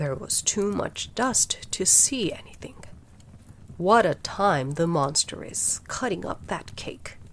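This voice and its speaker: A growling, whispering female-sounding voice, put on as a character, at a fairly slow pace. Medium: read story. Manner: lazy, yawning, growling.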